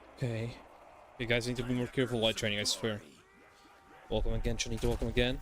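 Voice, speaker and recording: A man at a very fast pace, broken by long, frequent pauses, over noticeable background noise. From Albania. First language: Albanian. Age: 20s. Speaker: gaming streamer. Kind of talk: live gameplay stream chat. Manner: animated.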